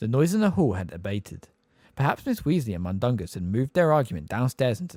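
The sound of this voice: Just an unforced reading voice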